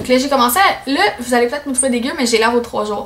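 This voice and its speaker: Pitch varies an ordinary amount, with audible room echo and noticeable background noise. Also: woman. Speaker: beauty vlogger. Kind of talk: casual product review vlog. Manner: fast; animated.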